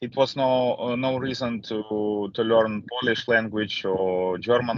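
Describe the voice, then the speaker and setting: A man speaks with a Ukrainian accent at a fairly slow pace. His intonation stays fairly even. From Ukraine. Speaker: refugee. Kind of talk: testimony. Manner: halting, many fillers.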